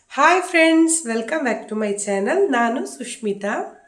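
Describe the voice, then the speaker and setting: A woman speaks at a fairly high pitch with lively intonation, and audible room echo surrounds her voice. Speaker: cooking and family vlogger. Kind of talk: cooking tutorial.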